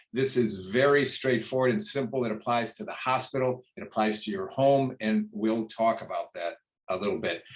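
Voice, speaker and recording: A man has an unremarkable speaking voice at a medium pitch. He talks at a moderate pace with ordinary pitch variation. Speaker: retired physician, quality improvement presenter. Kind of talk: lecture.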